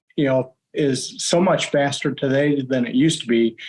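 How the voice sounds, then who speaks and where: An unremarkable speaking voice with an American accent moves at a fairly slow pace with fairly even intonation. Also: man. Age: 60s. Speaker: bow hunter, archery club president. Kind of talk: podcast interview.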